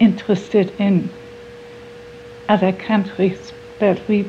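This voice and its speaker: A woman with a German accent and medium pitch speaks in a flat monotone at a fairly slow pace against noticeable background noise. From Germany, Hamburg area. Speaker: award recipient, civic activist. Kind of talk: interview testimony.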